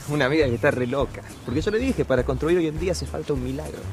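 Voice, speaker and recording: Through noticeable background noise, a man speaks at a very fast pace. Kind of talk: TV commercial dialogue.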